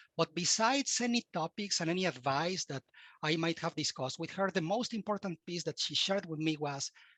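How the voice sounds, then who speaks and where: A man with a Latin American accent speaks at a fairly quick pace in a high, bright, sharp voice with ordinary pitch variation, the sound dry and close with no echo. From Mexico. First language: Spanish. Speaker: cybersecurity expert and university instructor. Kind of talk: podcast interview.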